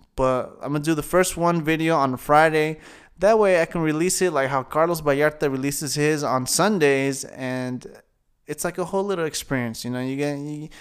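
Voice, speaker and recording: Using an ordinary speaking voice with an American accent, a man talks at a moderate pace, fairly high in pitch, his intonation fairly even. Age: 20s. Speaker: podcast host and comedian. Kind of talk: casual solo monologue.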